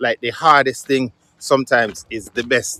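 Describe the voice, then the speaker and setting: A man speaks in a Jamaican accent at a medium pitch. His tone is bright and sharp, and the sound is dry and close with no echo. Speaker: musician. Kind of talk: casual vlog talk to camera.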